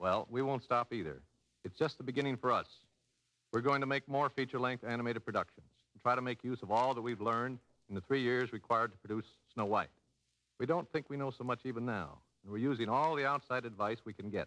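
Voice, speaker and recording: A man talks at a very fast pace with a bright, sharp tone and a medium pitch, showing ordinary pitch variation and big swings in loudness in a dry, close sound with no echo. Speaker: animated film producer. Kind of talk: radio interview answer. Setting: old radio broadcast.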